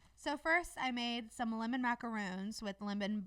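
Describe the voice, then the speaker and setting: Using a put-on character voice, a woman mumbles at a moderate pace at a fairly high pitch. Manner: mumbling, words swallowed.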